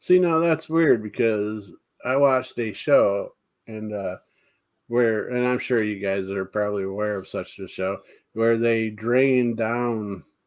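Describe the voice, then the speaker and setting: In a very clean recording with a silent background, a man talks fairly slowly in a plain, everyday voice, at medium pitch with ordinary pitch variation. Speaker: paranormal talk show host. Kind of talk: casual live chat with guests.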